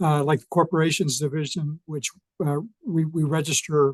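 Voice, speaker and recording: Somewhat breathy, a man speaks at a fairly quick pace with fairly even intonation. The sound is dry and close, with no echo. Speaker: state election official. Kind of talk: public talk. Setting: Zoom webinar.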